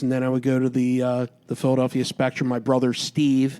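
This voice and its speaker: With an American accent, this man's voice sits at a medium pitch. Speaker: podcast host. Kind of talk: interview.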